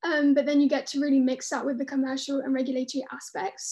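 In a southern English accent, a woman speaks at a very fast pace. Her voice is high-pitched with a dark, mellow tone. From London. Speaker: graduate student. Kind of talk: online webinar talk. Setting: video call.

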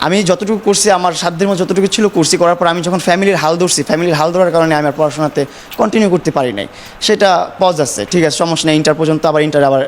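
Noticeable background noise under a man's high voice. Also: ordinary pitch variation. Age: 20s. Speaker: social media live streamer. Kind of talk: interview.

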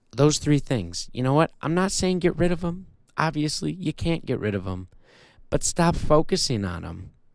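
A man with an ordinary speaking voice and a fairly high pitch talks at a moderate pace in a very clean recording with a silent background. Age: 20s. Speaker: podcast host and author. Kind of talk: casual solo monologue.

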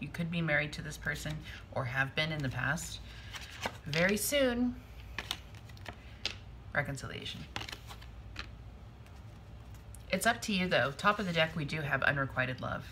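The speech moves at a moderate pace with long, frequent pauses over noticeable background noise. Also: woman. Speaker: tarot reader. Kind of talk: tarot reading commentary. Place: home room. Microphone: phone near.

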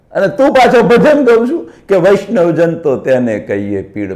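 A man is speaking. His pitch moves in very wide swings. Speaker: spiritual speaker. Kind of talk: religious discourse. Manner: animated.

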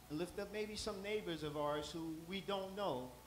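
A man at a fairly slow pace with ordinary pitch variation, audible room echo and light background noise. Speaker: church leader giving welcome and prayer. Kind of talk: prayer and welcome. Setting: church. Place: church.

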